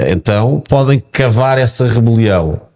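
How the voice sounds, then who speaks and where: This man's voice has a medium pitch and a dark, mellow tone. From Portugal, south bank of the Tagus (Montijo). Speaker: football pundit and author. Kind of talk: casual chat.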